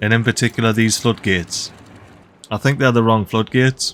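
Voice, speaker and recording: A man talks in a Geordie accent. His tone is bright, sharp and upbeat. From Northeast England (Geordie). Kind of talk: gaming commentary. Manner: casual, upbeat.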